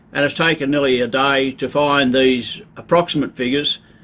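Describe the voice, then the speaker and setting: With an Australian accent, a man talks at a moderate pace in a fairly high pitch, keeping his intonation fairly even. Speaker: travel vlogger. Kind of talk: casual informational talk. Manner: casual, conversational.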